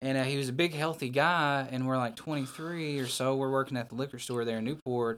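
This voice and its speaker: Speaking at a fairly quick pace with a Southern US accent, a man keeps his medium-pitched voice fairly even in intonation. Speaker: professional wrestler. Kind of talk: casual chat.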